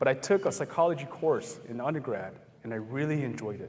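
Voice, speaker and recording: Noticeable background noise accompanies a man with fairly high pitch speaking in an American accent. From US Hmong American community. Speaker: psychologist and motivational speaker. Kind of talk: public talk with Q&A. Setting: campus event with live audience. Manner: conversational.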